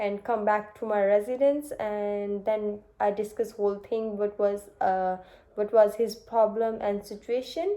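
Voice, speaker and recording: A woman with a fairly high pitch and a dark, mellow tone speaks at a fairly slow pace. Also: fairly even intonation. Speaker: nursing student. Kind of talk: mock job interview. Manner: halting, many fillers.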